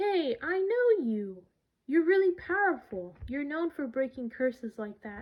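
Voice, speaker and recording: Putting on a character voice, a woman speaks at a fairly slow pace in a high pitch that swings very widely. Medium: read story.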